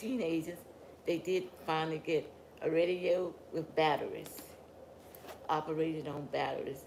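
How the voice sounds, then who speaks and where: In a Southern US accent, a woman speaks at a fairly slow pace with long, frequent pauses, a fairly low pitch and fairly even intonation. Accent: Southern US (Georgia). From US South, rural Georgia. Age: 90s. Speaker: family elder interviewed. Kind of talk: oral history interview.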